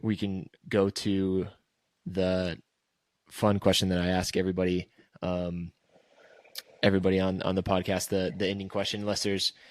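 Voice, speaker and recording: The speaker, in an American accent, moves at a fairly slow pace with monotone, flat intonation. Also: man. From Texas. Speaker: podcast host. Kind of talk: casual chat.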